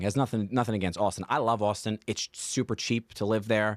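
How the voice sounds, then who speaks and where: A man with an American accent speaks at a fairly low pitch in an ordinary speaking voice. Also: very clean recording, silent background. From Staten Island, New York. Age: 30s. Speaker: comedian. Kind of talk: casual chat. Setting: studio.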